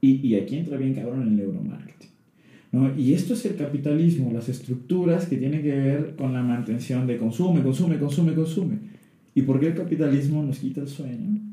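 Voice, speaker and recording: With audible room echo, a man with a fairly high pitch and a dark, mellow, somewhat breathy tone talks at a fairly quick pace, his pitch varying in an ordinary way. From Tabasco, Mexico. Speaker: psychologist. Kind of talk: casual chat.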